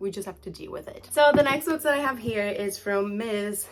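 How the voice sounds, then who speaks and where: A woman's voice with a Portuguese accent. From Brazil. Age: 20s. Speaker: book vlogger. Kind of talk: casual talk to camera. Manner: upbeat.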